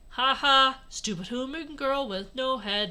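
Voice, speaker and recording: A female-sounding voice puts on a character at a high pitch for a woman. It is raised and projected, moving at a fairly slow pace. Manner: mocking.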